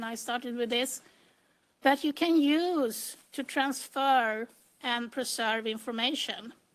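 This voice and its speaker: A woman in a Swedish accent speaks at a very slow pace with a high pitch. The recording is very clean, with a silent background. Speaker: metadata strategist and computer engineer. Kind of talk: conference presentation. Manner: hesitant, with frequent fillers.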